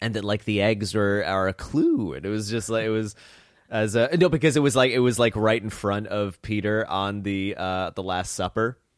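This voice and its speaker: A man speaks in a plain, everyday voice, fairly low in pitch, with ordinary pitch variation and a moderate pace. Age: 20s. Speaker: podcast host and comedian. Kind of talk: casual chat.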